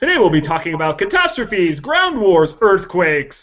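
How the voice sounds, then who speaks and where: In a put-on character voice, the speaker uses a middle pitch and a moderate pace. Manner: epic, dramatic.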